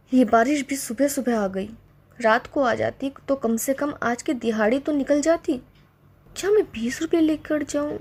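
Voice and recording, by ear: A woman puts on a cartoonish character voice, high in pitch with ordinary pitch variation and a slightly husky edge. Her tone is slightly mellow, and she speaks at a fairly slow pace.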